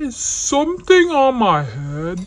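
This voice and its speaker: This put-on character voice sits at a fairly high pitch and makes very wide pitch swings. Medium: read story. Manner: fretful, questioning.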